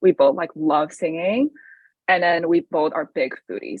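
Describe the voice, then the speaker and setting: In a Chinese accent, a woman speaks at a moderate pace. Her pitch is fairly low with ordinary variation. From China. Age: 20s. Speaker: college student. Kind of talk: podcast interview. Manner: casual with frequent fillers.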